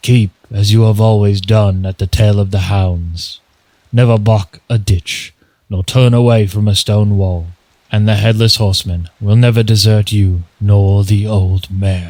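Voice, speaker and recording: In a growling, put-on character voice, a man speaks at a moderate pace with a fairly low pitch. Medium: read story.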